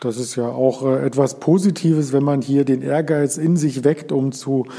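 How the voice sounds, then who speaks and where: Delivered at a moderate pace with fairly even intonation, this is a plain, everyday voice. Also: man. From Berlin area. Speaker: podcast host. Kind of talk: interview.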